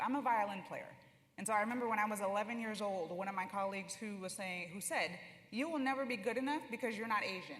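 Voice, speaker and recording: In audible room echo, a woman speaks very fast at a fairly high pitch with ordinary pitch variation. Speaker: orchestra conductor. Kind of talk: panel discussion.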